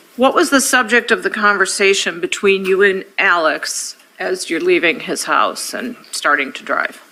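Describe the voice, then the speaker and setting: A woman talks with lively intonation and hardly any pauses. Noticeable background noise is present. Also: medium pitch for a woman, moderate pace. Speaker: defense attorney. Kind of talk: courtroom examination. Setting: courtroom.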